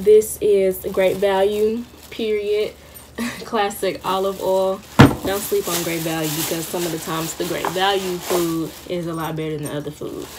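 Noticeable background noise runs under a woman speaking with fairly even intonation. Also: moderate pace. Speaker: college vlogger. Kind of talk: casual vlog chat. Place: home room. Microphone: phone near.

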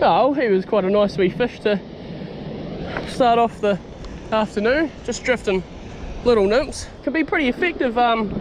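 Speech at a moderate pace with long, frequent pauses comes through dry with no echo, over noticeable background noise. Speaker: angler vlogger. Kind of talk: casual vlog chat. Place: waterside. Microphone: phone near.

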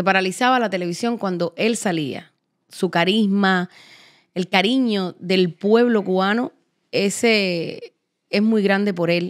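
Very slow speech from a woman, ordinary pitch variation, quiet background. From Cuba. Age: 50s. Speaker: podcast host. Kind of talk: casual interview chat. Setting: studio set. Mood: reflective, personal storytelling. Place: studio. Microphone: studio mic.

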